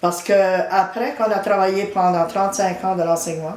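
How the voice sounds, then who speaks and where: A woman at medium pitch speaks at a moderate pace with fairly even intonation, amid audible room echo and noticeable background noise. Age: 70s. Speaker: retired teacher and community volunteer. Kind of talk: interview testimony.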